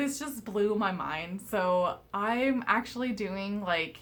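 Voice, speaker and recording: The speaker mumbles at a very slow pace. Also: woman. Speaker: tarot reader. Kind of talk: casual chat. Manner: mumbling.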